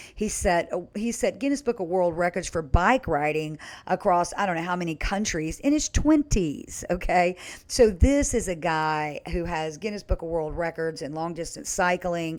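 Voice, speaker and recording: On a very clean recording with a silent background, a woman speaks at a moderate pace in a fairly low voice. Her tone is animated and her intonation lively. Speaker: nurse and health coach. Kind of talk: casual vlog talk.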